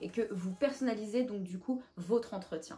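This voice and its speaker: A woman talks with lively intonation. Music plays in the background. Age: 20s. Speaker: YouTuber giving job interview tips. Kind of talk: advice vlog. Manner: casual with frequent hesitations.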